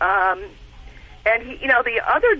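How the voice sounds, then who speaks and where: A woman speaks over noticeable background noise. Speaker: caller, dog owner. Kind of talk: casual chat. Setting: phone call.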